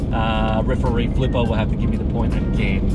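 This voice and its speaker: Music plays in the background as a man speaks at a moderate pace, the sound dry with no echo. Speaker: vlogger driving. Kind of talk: casual vlog chat. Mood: playful competitive banter. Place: car. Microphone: phone near.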